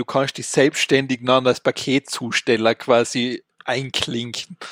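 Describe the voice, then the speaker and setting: With an Austrian accent, a man speaks at a medium pitch and a moderate pace with fairly even intonation, in a dry, close sound with no echo. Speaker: tech podcast co-host. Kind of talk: casual chat.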